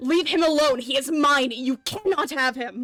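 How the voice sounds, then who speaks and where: A woman speaks in a put-on character voice pitched high. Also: moderate pace. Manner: menacing, possessive.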